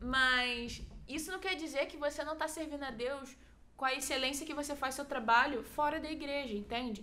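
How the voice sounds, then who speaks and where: A woman projects a raised, high-pitched voice with fairly even intonation. Room echo is audible. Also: moderate pace. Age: 20s. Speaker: church youth volunteer. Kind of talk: casual chat.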